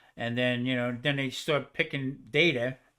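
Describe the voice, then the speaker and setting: On a very clean recording with a silent background, a man with a New Jersey accent speaks at a moderate pace and medium pitch with a bright, sharp tone. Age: 70s. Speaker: cancer survivor, cook. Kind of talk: casual chat.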